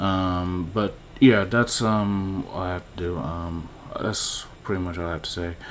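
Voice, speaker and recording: A man speaks at a fairly slow pace with a very deep, low voice and fairly even intonation. Audible room echo surrounds him. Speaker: YouTuber commenting on movie news. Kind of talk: casual vlog commentary. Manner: halting, many fillers.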